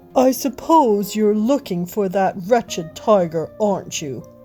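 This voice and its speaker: A female-sounding put-on character voice, gruff, of medium pitch and fairly slow pace, with clear music in the background. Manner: grumpy, bitter.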